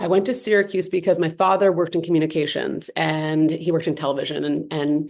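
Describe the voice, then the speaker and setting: Speaking very fast, a woman with an American accent has a fairly low pitch. Vocal fry runs through her voice. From Los Angeles, US West Coast. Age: 40s. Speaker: entrepreneur, handbag and cannabis business founder. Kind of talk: podcast interview. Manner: energetic; fast, filler-heavy.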